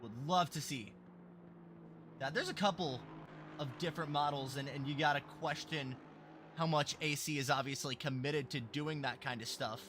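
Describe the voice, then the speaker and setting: A man talks loudly at a moderate pace. His tone is bright and sharp. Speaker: sim racing commentator. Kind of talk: live commentary. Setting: livestream. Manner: animated.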